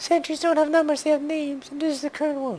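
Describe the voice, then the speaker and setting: A high-pitched, put-on character voice rattles along at a very fast pace. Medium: game stream. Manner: dry, wry.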